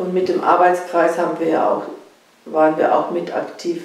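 Talking at a fairly slow pace, a woman is heard with audible room echo. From southern Poland. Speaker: sociology professor. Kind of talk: interview answer. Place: home room.

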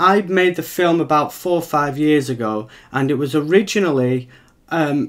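A man talks at a moderate pace, his pitch varying in an ordinary way, with a quiet background behind him. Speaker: film creator. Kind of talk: live stream Q&A chat. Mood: slightly nervous, enthusiastic. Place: home room. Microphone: webcam.

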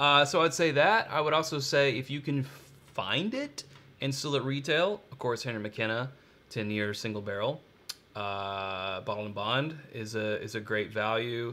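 Bright and sharp in tone, a man talks with an American accent and lively intonation. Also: moderate pace. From Kentucky. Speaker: bourbon channel co-host. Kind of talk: casual live-stream tasting chat. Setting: live stream. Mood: relaxed, conversational. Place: home room.

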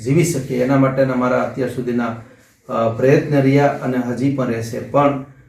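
In a room with audible echo, a man speaks at a medium pitch. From Gujarat, Somnath area (Saurashtra). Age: 60s. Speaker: politician and social worker. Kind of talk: interview statement.

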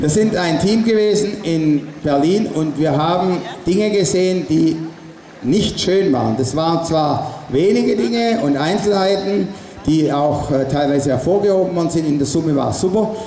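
High pitch from a man at a moderate pace, with audible room echo and light background noise. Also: ordinary pitch variation. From Stuttgart area, Swabia, Germany. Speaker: artist and protest speaker. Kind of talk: rally speech. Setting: outdoor demonstration with PA system. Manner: loud. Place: street.

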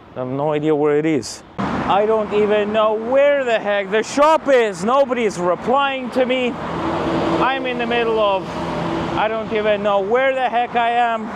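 Loud noise runs in the background. The sound is dry with no echo, and the pace is fairly slow. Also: man. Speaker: vlogger. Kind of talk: casual vlog chat. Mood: mildly frustrated. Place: street. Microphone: lapel.

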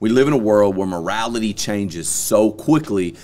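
A man's fairly low voice at a moderate pace. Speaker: podcast host. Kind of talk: podcast discussion opinion. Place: studio. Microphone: studio mic.

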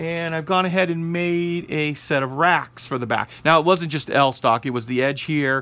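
Here a man talks at a moderate pace. His pitch varies in an ordinary way. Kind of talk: tutorial. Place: workshop. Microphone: phone near.

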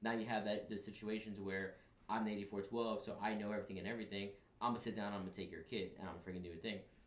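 In a room with audible echo, a man speaks very fast with an American accent. His fairly low voice stays monotone and flat. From New York City, the Bronx. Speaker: Marine recruiter; guest. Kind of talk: casual chat. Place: studio.

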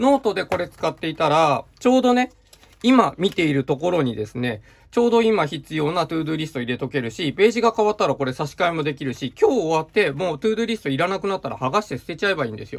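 At a very fast pace, a man with a fairly high pitch speaks with very wide pitch swings. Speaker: stationery reviewer. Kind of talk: product review video. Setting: video with items shown on desk. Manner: explanatory, filler-heavy.

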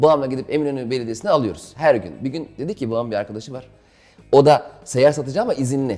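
A man talks at a very fast pace in a dark, mellow tone. His pitch is medium and his intonation lively. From Istanbul, Turkey; Turkey. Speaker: stand-up comedian; interview guest, comedian. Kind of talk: casual interview. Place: home room.

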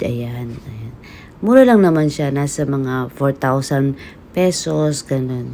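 A woman speaks at a very deep, low pitch. Light background noise sits behind her. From Philippines. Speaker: vlogger. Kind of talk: casual shopping vlog. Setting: in an electronics store. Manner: animated. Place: shop. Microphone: phone near.

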